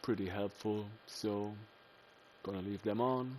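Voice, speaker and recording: A man with a German accent talks at a fairly slow pace, his pitch fairly low and his intonation fairly even. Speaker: gaming video creator. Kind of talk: let's play commentary. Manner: casual, with many fillers.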